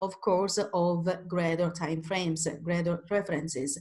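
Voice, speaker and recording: A somewhat breathy woman with an Italian accent, fairly slow in pace, over a quiet background. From Italy. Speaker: independent trader, webinar presenter. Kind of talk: webinar tutorial. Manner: halting, many fillers and restarts.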